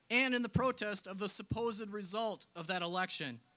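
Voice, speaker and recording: Raised and projected, a man's bright, sharp voice with an American accent runs high in pitch at a fairly quick pace with ordinary pitch variation. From Wisconsin, Clark County. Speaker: politician. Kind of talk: political rally speech. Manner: emphatic, rhetorical.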